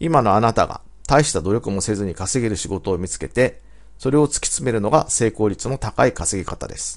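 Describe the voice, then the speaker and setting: A man's fairly low voice with vocal fry, lively intonation and a fairly quick pace, over a quiet background. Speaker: business coach. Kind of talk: scripted narration.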